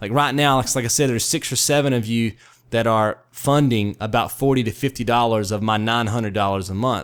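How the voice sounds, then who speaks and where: Talking at a fairly quick pace, a man uses a medium pitch with ordinary pitch variation. The recording is very clean, with a silent background. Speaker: video creator. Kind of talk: monologue vlog. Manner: loud, stern; fierce, passionate.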